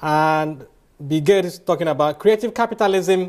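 Against a quiet background, a man talks at a moderate pace. His voice is high-pitched. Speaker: lecturer. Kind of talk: lecture. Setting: stage with audience. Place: hall.

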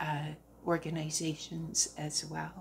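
A woman speaking at a very slow pace with vocal fry and fairly even intonation, over light background noise. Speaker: crafter vlogger. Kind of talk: casual vlog chat. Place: home room. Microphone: phone near.

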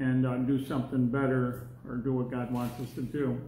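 Light background noise and audible room echo surround a man speaking in a monotone, flat intonation at a moderate pace. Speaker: Bible class teacher. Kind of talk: lecture. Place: classroom. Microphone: phone near.

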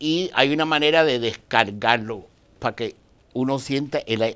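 Speaking in a plain, everyday voice, a man keeps a medium pitch, ordinary pitch variation and a moderate pace. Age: 60s. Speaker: dianetics practitioner; interview guest. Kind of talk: interview. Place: studio. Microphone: lapel.

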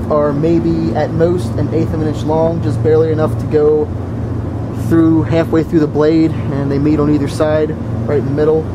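With noticeable background noise around him, a man keeps to a moderate pace. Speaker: soldier reviewing a knife. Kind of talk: casual review talk. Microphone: phone near.

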